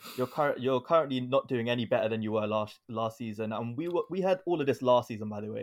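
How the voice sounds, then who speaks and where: A man in a normal speaking voice, medium in pitch, at a fairly quick pace, in a very clean recording with a silent background. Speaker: podcast panelist. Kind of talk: casual chat, football debate.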